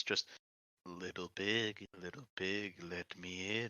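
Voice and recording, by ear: A man uses a put-on character voice that is gruff and very deep. He talks at a fairly slow pace.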